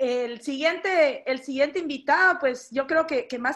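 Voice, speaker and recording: Ordinary pitch variation in a female speaker's high voice. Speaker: online event host. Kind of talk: event moderation.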